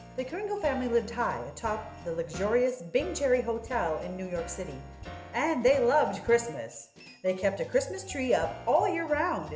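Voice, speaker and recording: Music sits in the background. A woman speaks over it at a moderate pace. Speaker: grandmother reading to her grandson. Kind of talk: dramatic children's story reading.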